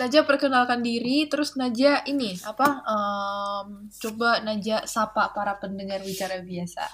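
A woman's fairly high-pitched, plain, everyday voice at a fairly slow pace, with ordinary pitch variation and hardly any pauses. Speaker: podcast co-host. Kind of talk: casual chat. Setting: video call.

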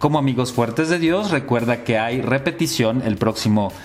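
Noticeable background noise behind a man of medium pitch, ordinary pitch variation and moderate pace. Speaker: radio host and friar. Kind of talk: radio talk show interview.

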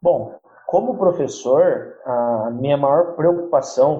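A man's somewhat breathy voice with ordinary pitch variation. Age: 20s. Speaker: schoolteacher. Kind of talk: interview.

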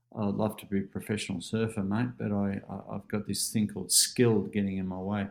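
A man with an Australian accent, a fairly low pitch, and monotone, flat intonation. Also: fairly quick pace. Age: 40s. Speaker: life coach and keynote speaker. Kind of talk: casual interview.

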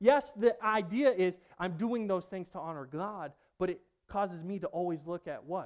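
Over a silent background in a very clean recording, a man speaks at a high pitch. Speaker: guest preacher, military veteran. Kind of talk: sermon. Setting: church.

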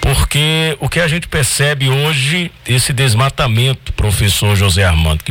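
A man's medium-pitched voice at a fairly slow pace, with very wide pitch swings and noticeable background noise. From Triunfo, Pernambuco, Brazil. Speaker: radio co-host. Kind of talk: radio talk show.

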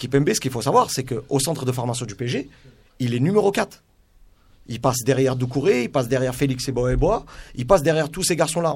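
Somewhat breathy male speech delivered at a fairly quick pace. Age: 30s. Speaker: youth football coach and scout. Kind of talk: radio sports debate.

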